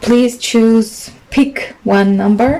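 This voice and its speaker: Noticeable background noise runs behind the speaker, a woman. Her pitch variation is ordinary. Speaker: tarot reader. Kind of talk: tarot reading. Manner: halting.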